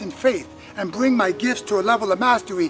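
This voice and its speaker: Music plays behind a man with a high pitch. He talks at a fairly quick pace with ordinary pitch variation. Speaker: spoken word poet. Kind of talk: spoken word poetry performance.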